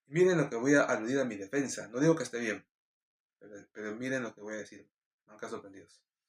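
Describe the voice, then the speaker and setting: A man speaks at a very fast pace in a medium pitch with ordinary pitch variation. His loudness swings widely. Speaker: preacher. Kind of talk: casual explanation; devotional sermon. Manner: drops syllables when speaking fast; hesitant fillers.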